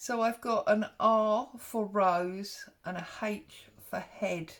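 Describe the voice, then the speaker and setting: Someone with an English accent speaks at a very slow pace with fairly even intonation. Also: woman, fairly high pitch for a woman. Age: 50s. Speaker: craft vlogger. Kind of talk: craft tutorial. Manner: casual, chatty.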